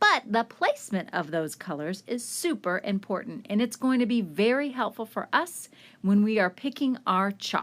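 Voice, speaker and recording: Her pitch fairly high, a woman speaks at a moderate pace with very wide pitch swings and hardly any pauses. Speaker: art teacher. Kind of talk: tutorial. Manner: animated.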